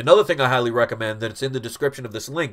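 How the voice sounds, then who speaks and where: A man with a New York accent at medium pitch, very clean recording with a silent background. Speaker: comic book collector YouTuber. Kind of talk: live stream Q&A. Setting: live stream. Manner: casual, conversational.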